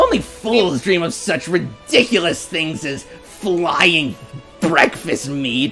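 Over clear background music, a loud, shrill put-on character voice at middle pitch moves at a very slow pace. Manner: loud, smug.

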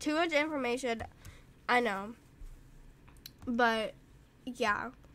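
A woman speaks very slowly at a high pitch with ordinary pitch variation. Her tone is bright and sharp. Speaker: gaming youtuber. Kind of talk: gameplay commentary. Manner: rambling, halting.

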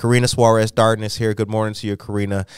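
A man talks very fast in a dry recording with no echo. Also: quiet background. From Illinois, Chicago area. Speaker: podcast host. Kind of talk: morning news podcast. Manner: halting. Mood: warm, reflective. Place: studio. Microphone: studio mic.

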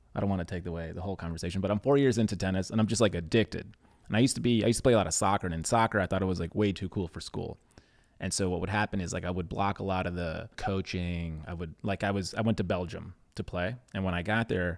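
A man's very deep, low voice at a very fast pace, with ordinary pitch variation over a quiet background. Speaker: podcast host. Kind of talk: casual podcast conversation. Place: studio. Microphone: studio mic.

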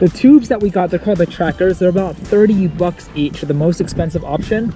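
Against clear background music, a man speaks at a high pitch with ordinary variation, the sound dry and free of echo. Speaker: travel vlogger. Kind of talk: casual vlog chat. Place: waterside. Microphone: phone near.

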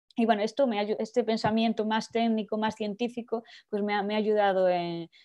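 A woman speaks at a moderate pace with fairly even intonation against a quiet background. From Spain. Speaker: poet. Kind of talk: interview. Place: home room. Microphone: earbuds.

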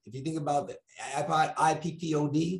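A man talks at a moderate pace with a fairly high pitch and a somewhat breathy sound. Audible room echo surrounds him. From New York. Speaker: motivational speaker. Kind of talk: motivational talk. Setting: video call. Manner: animated. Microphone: earbuds.

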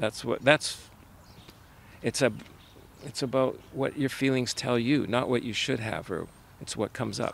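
The voice carries vocal fry and moves at a moderate pace with long, frequent pauses, over light background noise in a dry sound with no echo. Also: man, ordinary pitch variation. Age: 70s. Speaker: retiree. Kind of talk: interview answer. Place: open country.

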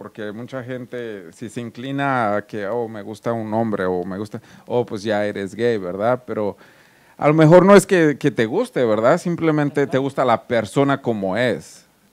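With an ordinary speaking voice at medium pitch, a man talks at a moderate pace with lively intonation and big swings in loudness. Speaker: co-host. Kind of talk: casual chat. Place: studio. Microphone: handheld.

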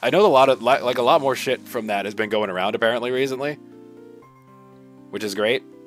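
A man talking at a very fast pace, ordinary pitch variation, faint music in the background, and a dry sound with no echo. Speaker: streamer. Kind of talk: casual gameplay commentary. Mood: relaxed, upbeat. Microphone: studio mic.

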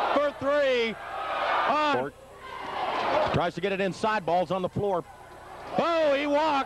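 The speech has long, frequent pauses. Loud background noise is present. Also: dry sound with no echo. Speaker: basketball play-by-play announcer. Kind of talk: live play-by-play sports commentary. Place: hall.

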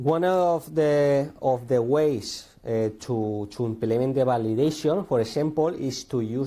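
A dark, mellow-toned man with a Spanish accent, fairly slow pace, ordinary pitch variation and a quiet background. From Spain. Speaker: conference speaker. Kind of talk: technical talk. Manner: halting, many fillers and repetitions. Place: classroom.

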